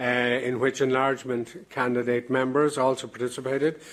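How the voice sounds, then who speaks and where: There is noticeable background noise behind a man with an Irish accent. He speaks at a moderate pace with a medium pitch. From Ireland. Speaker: president of an EU advisory committee chairing a plenary. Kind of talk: formal opening address at a plenary session. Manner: hesitant, many filler sounds.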